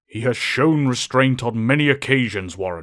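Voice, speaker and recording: In a very clean recording with a silent background, a man uses a put-on character voice at medium pitch and a moderate pace. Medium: audio drama. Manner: calm, authoritative.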